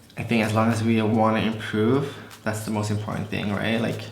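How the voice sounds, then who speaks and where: Against noticeable background noise and audible room echo, a man talks in a fairly low pitch with a monotone, flat intonation. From Malaysia. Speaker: beauty vlogger. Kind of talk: casual chat.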